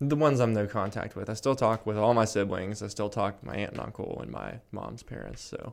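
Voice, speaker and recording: Fairly low in pitch, a man speaks with a plain, everyday voice and fairly even intonation. He moves at a fairly quick pace with hardly any pauses and big swings in loudness. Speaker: podcast host. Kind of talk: casual chat. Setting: studio. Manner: joking, laughs often.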